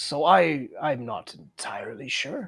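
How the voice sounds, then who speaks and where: The speaker uses a put-on character voice pitched low-to-middle. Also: fairly slow pace. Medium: actual play. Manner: polite, hesitant.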